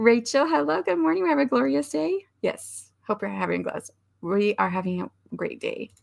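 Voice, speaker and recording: Putting on a raspy character voice, a woman speaks at a moderate pace with a medium pitch. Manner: cheerful greeting despite tiredness.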